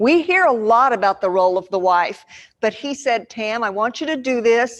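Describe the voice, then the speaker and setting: A woman's fairly high voice, animated in tone, at a moderate pace. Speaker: church women's speaker. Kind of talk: seminar talk. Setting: church seminar room with audience and microphone. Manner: loud.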